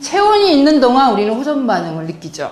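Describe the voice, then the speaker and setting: A woman with a high pitch speaks amid audible room echo. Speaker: health lecturer. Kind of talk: lecture.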